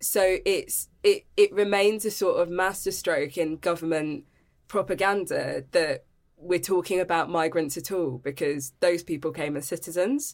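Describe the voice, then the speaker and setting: In a very clean recording with a silent background, a woman with a plain, everyday voice speaks at a fairly slow pace, fairly low in pitch, with ordinary pitch variation. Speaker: human rights campaigner. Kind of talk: interview.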